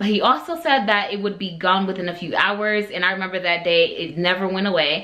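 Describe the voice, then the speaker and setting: Pitch varies in an ordinary way. Room echo is audible. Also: woman. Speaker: beauty and lifestyle vlogger. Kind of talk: casual vlog talk to camera.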